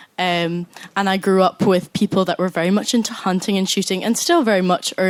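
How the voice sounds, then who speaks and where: In a Scottish accent, a woman speaks at a fairly quick pace with a medium pitch and fairly even intonation. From Scotland, Scottish Borders (Galashiels). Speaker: university student, audience member. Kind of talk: audience contribution in a live debate.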